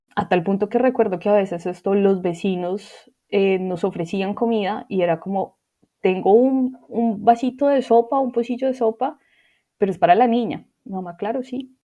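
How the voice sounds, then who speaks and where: A woman speaks at a moderate pace in an ordinary speaking voice, her medium pitch showing ordinary pitch variation. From Colombia, Manizales. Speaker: interviewee sharing life story. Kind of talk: personal testimony.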